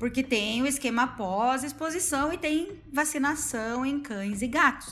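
A woman with a high pitch talks at a fairly slow pace with ordinary pitch variation. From Paraná, Brazil. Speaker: virologist, postdoctoral researcher. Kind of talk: casual chat.

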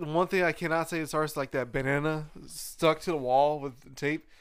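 Speaking at a moderate pace, a man has a plain, everyday voice with a fairly high pitch. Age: 30s. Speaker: podcast host. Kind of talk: casual chat.

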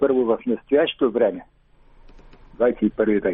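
A man talks at a very slow pace. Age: 70s. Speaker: engineer, caller. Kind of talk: call-in question. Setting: phone call.

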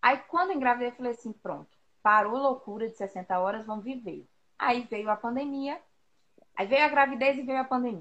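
Her loudness swinging widely, a woman with a high pitch talks at a moderate pace with ordinary pitch variation. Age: 30s. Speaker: teacher and mother. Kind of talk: casual chat. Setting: Instagram live stream.

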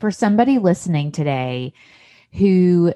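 A woman with an American accent. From US South, Tennessee. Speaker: podcast host.

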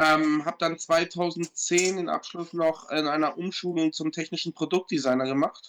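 This man talks at a moderate pace with hardly any pauses. His voice is high-pitched, with monotone, flat intonation. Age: 40s. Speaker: guest with Tourette syndrome, product designer. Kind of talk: casual chat.

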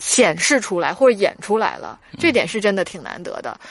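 This woman has an unremarkable speaking voice, medium in pitch, with lively intonation and a moderate pace. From northern China. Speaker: film critic podcast co-host. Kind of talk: casual chat film review.

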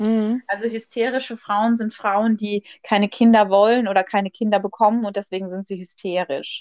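Her intonation monotone and flat, a woman with a fairly high pitch talks at a moderate pace, with a dry, close sound and no echo. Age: 20s. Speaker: podcast host. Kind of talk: casual chat. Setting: remote call.

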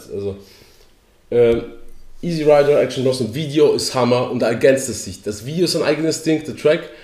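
A man speaks at a moderate pace with a fairly high pitch and a dark, mellow tone, leaving long, frequent pauses amid audible room echo. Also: ordinary pitch variation. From Poland. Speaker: podcast co-host. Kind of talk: casual chat.

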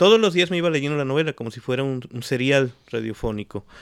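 With a plain, everyday voice, a man talks at a fairly quick pace and medium pitch with ordinary pitch variation, the sound dry and close with no echo and the recording very clean over a silent background. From Mexico (Xalapa, Veracruz and Mexico City). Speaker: writer. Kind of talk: casual interview. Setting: at the guest's home.

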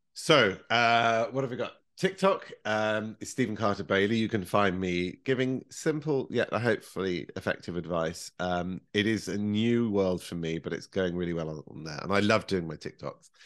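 With a British accent, a man speaks at a moderate pace and a fairly low pitch with ordinary pitch variation, hardly pausing, against a quiet background. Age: 40s. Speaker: professional baker. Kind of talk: casual chat.

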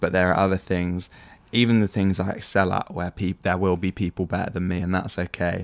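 In a very clean recording with a silent background and a dry, close sound with no echo, a man with a very deep, low pitch talks at a fairly quick pace in a monotone, flat intonation. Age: 20s. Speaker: podcast co-host, young church leader. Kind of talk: casual chat.

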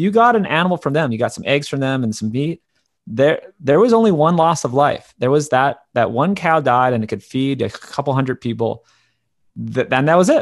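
Against a quiet background, a man with a plain, everyday voice talks at a fairly quick pace, his pitch fairly high and his intonation lively. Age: 30s. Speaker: documentary filmmaker and podcaster. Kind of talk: interview.

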